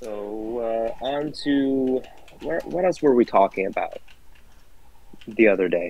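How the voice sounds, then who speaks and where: Pausing long and often, a man speaks at a very slow pace in a dry sound with no echo. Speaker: racing league host. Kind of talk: casual chat. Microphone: video call.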